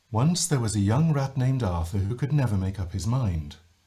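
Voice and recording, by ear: A man puts on a character voice with very wide pitch swings around a medium pitch. He sounds breathy and moves at a fairly quick pace.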